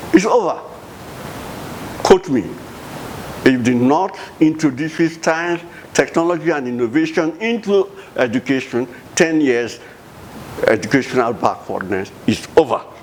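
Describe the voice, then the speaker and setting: Fairly high-pitched male speech with long, frequent pauses against noticeable background noise. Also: moderate pace. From Nigeria, Bayelsa State. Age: 80s+. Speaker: retired professor and former government minister. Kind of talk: interview. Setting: home office. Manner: halting, repeats words.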